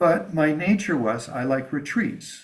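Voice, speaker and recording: Delivered at a fairly slow pace, this is an unremarkable speaking voice. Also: man. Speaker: Buddhist lama teacher. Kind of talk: dharma teaching. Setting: teaching with live translation.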